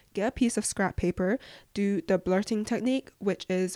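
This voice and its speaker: In a very clean recording with a silent background and a dry, close sound with no echo, a woman with an English accent speaks at a moderate pace in a dark, mellow tone. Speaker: podcast host, student. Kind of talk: casual Q&A monologue.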